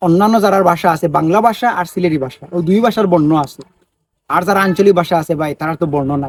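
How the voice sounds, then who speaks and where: Ordinary pitch variation shapes a man's high-pitched speech. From Sylhet region, Bangladesh. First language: Sylheti (speaking Bengali). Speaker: social media video maker. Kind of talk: vlog monologue. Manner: animated.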